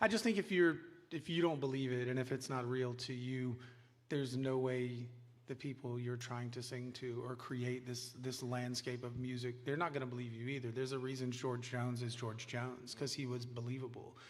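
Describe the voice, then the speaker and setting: A man speaks at a medium pitch with fairly even intonation. Audible room echo surrounds his voice. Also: moderate pace. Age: middle-aged. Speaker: songwriter. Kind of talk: interview on stage.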